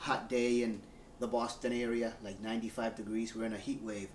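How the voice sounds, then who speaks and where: Noticeable background noise under a man's medium-pitched, fairly quick delivery. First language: Spanish. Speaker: airline worker and model collector. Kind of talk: unboxing video, casual talk.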